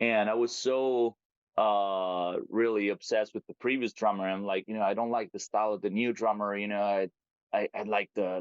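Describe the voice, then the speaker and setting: A man with a Roman accent, fairly low-pitched, at a moderate pace with fairly even intonation. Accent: Italian (Roman). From Italy, Rome. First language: Italian. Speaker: metal band vocalist. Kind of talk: casual interview chat. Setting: video call. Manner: halting, many restarts.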